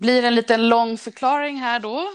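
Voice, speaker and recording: A woman speaks in a normal speaking voice, fairly high-pitched with ordinary pitch variation. The sound is dry and close with no echo, over a quiet background. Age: 40s. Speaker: railway traffic manager. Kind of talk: casual interview.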